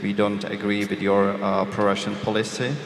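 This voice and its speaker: Speech comes at a moderate pace. Background noise is noticeable, and the room echo is audible. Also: man. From Czech Republic. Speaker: journalist. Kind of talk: panel discussion. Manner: hesitant, many fillers.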